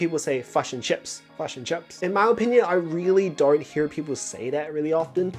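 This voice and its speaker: Over music in the background, a man with a New Zealand accent talks at a fairly quick pace in a fairly high voice with an upbeat tone. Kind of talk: casual talk to camera.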